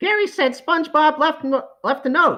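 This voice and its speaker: A cartoonish character voice pitched high moves along at a moderate pace. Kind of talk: cartoon impression. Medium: read story.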